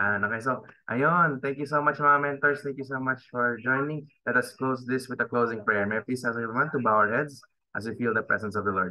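Fairly quick delivery with ordinary pitch variation against a quiet background. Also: man. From Philippines. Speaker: event host. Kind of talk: event hosting. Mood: grateful, polite. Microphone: video call.

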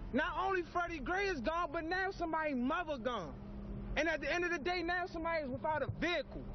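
In a passionate tone, a man speaks at an extremely high pitch with very even loudness, the sound dry with no echo and noticeable background noise behind him. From Baltimore. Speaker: local resident. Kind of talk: street interview reaction. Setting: outdoors. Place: street. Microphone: handheld.

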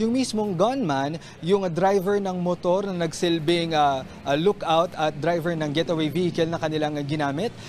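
A man speaks at a fairly slow pace in a high pitch with ordinary pitch variation. There is light background noise. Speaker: TV field reporter. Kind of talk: live news report. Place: street. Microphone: handheld.

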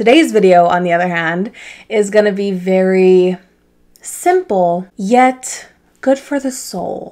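A woman's dark, mellow voice against a quiet background. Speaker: vlogger. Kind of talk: casual vlog chat. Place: home room. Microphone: camera far.

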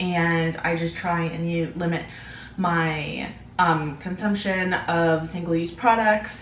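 A woman with a fairly low pitch is recorded with audible room echo and light background noise. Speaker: vlogger. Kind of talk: casual vlog chat. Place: kitchen.

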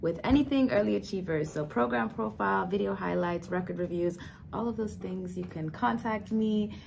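A woman with a very deep, low pitch makes very wide pitch swings. Light background noise is present. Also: moderate pace. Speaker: early learning coach. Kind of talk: casual self-introduction. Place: office. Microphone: phone near.

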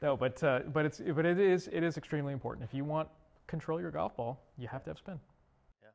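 A man's fairly high voice at a very fast pace, with big swings in loudness and ordinary pitch variation. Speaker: golf tour equipment rep. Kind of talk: interview. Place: studio.

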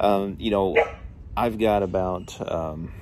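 A man with ordinary pitch variation, in a dry sound with no echo and noticeable background noise. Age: 40s. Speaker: YouTuber. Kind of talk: casual vlog. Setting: at home. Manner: hesitant, lots of fillers. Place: garden. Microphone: phone near.

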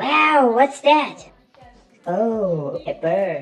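A female-sounding, put-on character voice rings out at a high pitch. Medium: dub. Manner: excited, playful.

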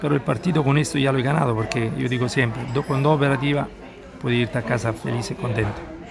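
Crowd noise fills the background as a man talks at a fairly quick pace. His pitch varies in an ordinary way. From Italy. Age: 60s. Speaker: day trader. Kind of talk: live trading commentary. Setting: outdoors at a seaside café. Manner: relaxed. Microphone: phone near.

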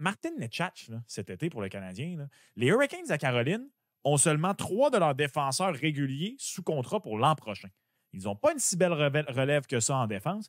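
A man with a fairly high pitch speaks at a moderate pace with very wide pitch swings, in a dry sound with no echo against a quiet background. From Quebec. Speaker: sports betting podcast co-host. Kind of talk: casual chat. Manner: animated. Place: home room. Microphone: studio mic.

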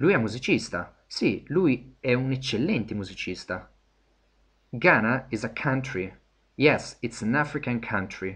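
Speech with lively intonation and long, frequent pauses over a quiet background. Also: man, medium pitch for a man. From Italy. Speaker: English teacher. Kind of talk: lecture. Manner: hesitant, many fillers.

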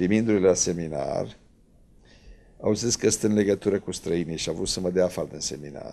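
The tone is dark and mellow. Pitch variation is ordinary, and the pace is moderate. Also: man, very deep, low pitch for a man. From Romania, Drăgășani (Vâlcea); Romania. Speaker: Orthodox priest. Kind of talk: TV interview. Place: studio. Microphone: handheld.

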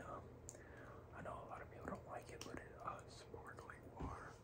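Over noticeable background noise, a man is whispering. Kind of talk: casual talk to camera. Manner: whispered, rambling.

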